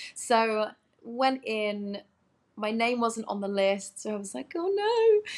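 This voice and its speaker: Here a woman talks at a very slow pace. She has an English accent. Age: 30s. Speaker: actress. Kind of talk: interview chat.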